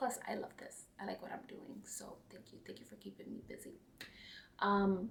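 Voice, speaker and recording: A woman whispering at a moderate pace, with big swings in loudness and audible room echo. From New York. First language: not English. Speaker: cross-stitch vlogger. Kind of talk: casual chat.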